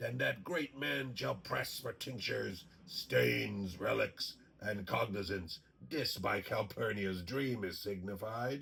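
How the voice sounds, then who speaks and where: This man uses a cartoonish character voice, fairly low in pitch and fairly slow in pace. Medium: puppet show. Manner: hesitant, laughing, flattering.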